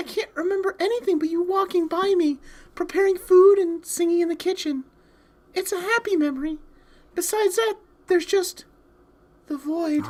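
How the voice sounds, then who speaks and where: In a put-on character voice, the speaker squeaks at an extremely high pitch, moving at a moderate pace with long, frequent pauses. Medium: game stream. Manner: timid, apologetic.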